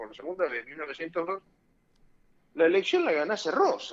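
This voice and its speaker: A man talks with high pitch and lively intonation. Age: 60s. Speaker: lawyer and former judicial council member. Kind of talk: radio interview. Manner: animated.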